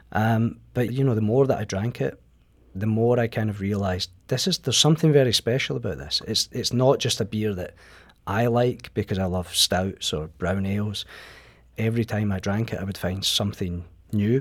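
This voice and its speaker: Heard on a very clean recording with a silent background, a man with a Scottish accent speaks at a moderate pace, his fairly low pitch showing ordinary pitch variation. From Scotland. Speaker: magazine writer. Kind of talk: radio interview. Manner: halting.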